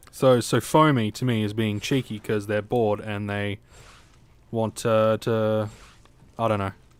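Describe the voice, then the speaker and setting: A man speaks in a fairly low pitch with a playful tone but monotone, flat intonation. His pace is fairly slow, with long, frequent pauses. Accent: Australian. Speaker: video game streamer. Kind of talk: live stream chat. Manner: casual, playful.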